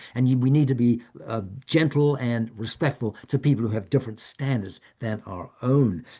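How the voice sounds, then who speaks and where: A man with an American accent speaks at a fairly quick pace against a quiet background. His tone is dark and mellow, and somewhat breathy. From United States. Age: 70s. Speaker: author and retired professor giving a wellness talk. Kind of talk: talk. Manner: halting, with frequent repetitions.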